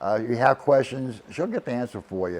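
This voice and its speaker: Speaking with a South Carolina accent, a man holds a medium pitch at a moderate pace with ordinary pitch variation. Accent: Southern US (South Carolina). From US South, Charleston, South Carolina. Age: 60s. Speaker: retiree. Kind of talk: casual testimonial. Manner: halting, with fillers and repetitions.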